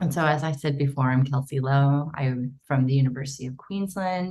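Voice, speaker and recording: A woman with an American accent, very deep and low in pitch, dark and mellow in tone, somewhat breathy, at a moderate pace. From United States. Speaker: archaeologist. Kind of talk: conference presentation. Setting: online symposium.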